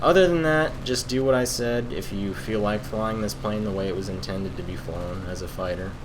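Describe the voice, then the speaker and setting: Over noticeable background noise and audible room echo, a man with a fairly low pitch talks at a fairly quick pace with lively intonation and hardly any pauses. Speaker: gaming YouTuber. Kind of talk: gameplay commentary.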